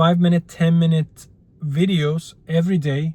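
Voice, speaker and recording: A man with a non-native accent speaks at a fairly slow pace. His voice is high for a man. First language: not English. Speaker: YouTuber. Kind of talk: casual vlog monologue. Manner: halting, with fillers.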